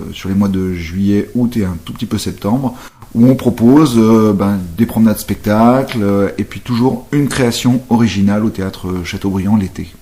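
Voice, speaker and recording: A man speaks at a moderate pace in a dark, mellow tone, with a fairly low pitch and ordinary pitch variation. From Brittany, Saint-Malo. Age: 40s. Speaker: actor and stage director. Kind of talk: interview. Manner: hesitant, many fillers.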